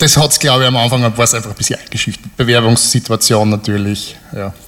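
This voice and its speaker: Fairly quick and medium-pitched, a man talks with fairly even intonation. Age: 30s. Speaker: software developer, audience volunteer. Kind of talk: live stage interview. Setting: stage with audience.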